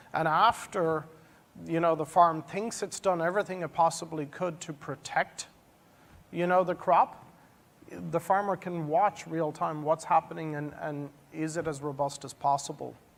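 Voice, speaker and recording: The voice carries an Irish accent. It moves at a moderate pace. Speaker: industry panelist. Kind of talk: panel presentation. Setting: stage with audience.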